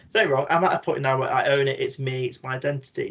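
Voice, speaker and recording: With a British accent, a man speaks at a fairly high pitch. He moves along at a fairly quick pace. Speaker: podcast panel guest. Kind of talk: panel discussion. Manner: frank.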